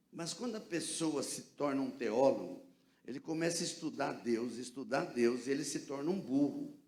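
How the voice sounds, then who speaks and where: A man with a fairly high pitch speaks at a moderate pace with lively intonation. Room echo is audible. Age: 70s. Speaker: pastor. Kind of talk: sermon. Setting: church. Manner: animated.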